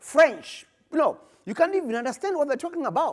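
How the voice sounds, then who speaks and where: A man is speaking. He has an African accent. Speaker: postgraduate researcher. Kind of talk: conference presentation.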